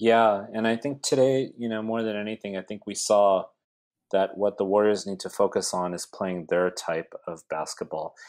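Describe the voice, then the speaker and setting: Here a man with a Californian accent speaks in a fairly low pitch at a moderate pace. The recording is very clean, with a silent background. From US, South Bay (California). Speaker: university professor. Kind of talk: casual chat.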